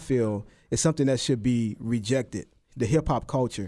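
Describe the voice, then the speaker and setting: The recording is very clean, with a silent background. A man talks at a moderate pace and medium pitch in an unremarkable speaking voice. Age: 40s. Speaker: radio host. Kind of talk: radio talk show. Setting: studio.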